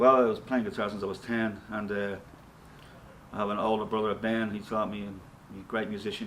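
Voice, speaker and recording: A man's fairly low, flat, monotone voice at a very fast pace, with a Dublin accent and audible room echo. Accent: Dublin Irish. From Ireland, Dublin (Ballyfermot). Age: 60s. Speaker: rock guitarist and singer. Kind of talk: interview. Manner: casual.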